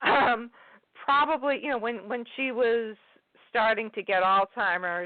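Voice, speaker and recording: Speaking with an American accent, a woman uses a fairly high pitch with ordinary pitch variation. Her pace is fairly slow. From New England (Worcester area, Massachusetts). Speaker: poet and English professor. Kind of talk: interview. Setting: phone call. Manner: hesitant, many fillers.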